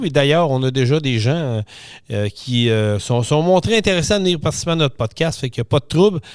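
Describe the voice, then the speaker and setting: A man with a Quebec accent speaks at a fairly quick pace and a fairly high pitch. His intonation is lively, and the recording is very clean with a silent background. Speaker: podcast host. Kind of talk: casual podcast monologue. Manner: hesitant, many filler sounds.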